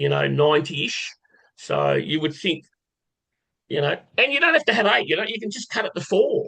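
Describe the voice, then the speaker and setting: A man speaks at a moderate pace in an Australian accent. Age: 60s. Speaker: horse racing tipster. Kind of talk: casual live stream chat. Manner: casual, conversational.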